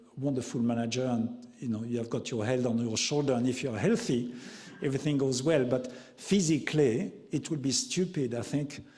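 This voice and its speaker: Over noticeable background noise, a man talks at a moderate pace with a medium pitch and ordinary pitch variation. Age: 60s. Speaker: chef. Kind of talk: panel interview. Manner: halting.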